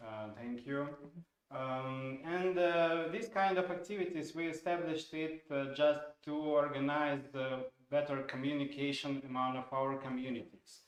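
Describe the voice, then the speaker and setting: A man with a Russian accent talks at a fairly slow pace in a fairly high voice, his pitch varying in an ordinary way. Room echo is audible, though the background is quiet. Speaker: software product owner, stream co-host; stream co-host. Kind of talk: informal live stream webinar. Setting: studio live stream. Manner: halting, many fillers. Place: studio.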